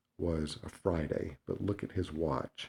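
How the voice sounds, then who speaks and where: On a very clean recording with a silent background, a man speaks with a very deep, low pitch, a dark, mellow tone and fairly even intonation. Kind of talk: video lecture. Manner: halting.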